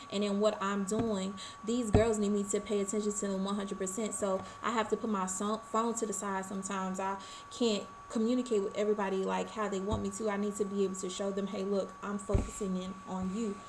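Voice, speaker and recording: A woman's medium-pitched, monotone, flat delivery at a fairly quick pace, with audible room echo and noticeable background noise. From Arkansas, US South. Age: 20s. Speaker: college student. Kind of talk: class presentation. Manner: fast.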